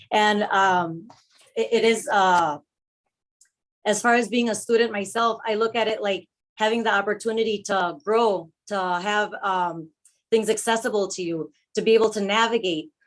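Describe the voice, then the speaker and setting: A woman is speaking. Her pace is moderate and her intonation fairly even. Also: fairly high pitch for a woman. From Milwaukee, US Midwest (born in Mexico). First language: Spanish. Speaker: public commenter at board meeting. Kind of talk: public comment speech. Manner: hesitant, many fillers.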